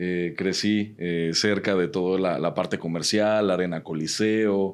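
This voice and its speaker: Against a quiet background, a man with a Mexican accent speaks at a very deep, low pitch and fairly slow pace, his intonation monotone and flat and his loudness very even. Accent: Mexican Spanish (Jalisco). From Guadalajara, Mexico. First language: Mexican Sign Language (speaking Spanish). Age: 30s. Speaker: human rights researcher and activist. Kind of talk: podcast interview.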